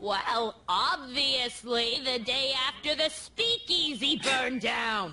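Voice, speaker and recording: In a put-on character voice, a woman speaks very slowly at a high pitch, with hardly any pauses. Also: ordinary pitch variation. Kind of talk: prim old-fashioned scolding. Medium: video game. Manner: stern, sharp-tongued, disapproving.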